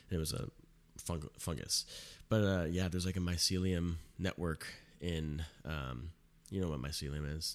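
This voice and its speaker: A man speaks at a moderate pace in a very deep, low voice with fairly even intonation and long, frequent pauses. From California and Arizona. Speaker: podcast host. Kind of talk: casual chat. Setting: home recording setup.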